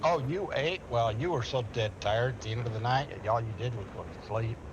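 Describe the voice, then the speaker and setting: Audible room echo surrounds a man's medium-pitched voice. He moves at a fairly quick pace with ordinary pitch variation. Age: 60s. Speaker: gamer. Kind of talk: casual chat.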